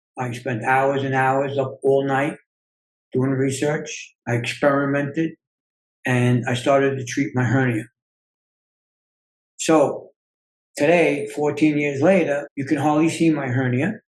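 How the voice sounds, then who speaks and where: Long, frequent pauses break up a man's fairly slow speech. His pitch sits fairly high. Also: fairly even intonation. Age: 60s. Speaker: self-healing coach and author. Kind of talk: interview.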